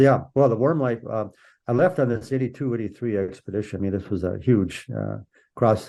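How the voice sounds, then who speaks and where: Talking at a fairly quick pace, a man with an Upper Midwest accent speaks at a medium pitch with ordinary pitch variation. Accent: Upper Midwest American. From US Midwest, Minnesota. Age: 70s. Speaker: polar explorer. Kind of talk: interview. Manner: halting, many repeats.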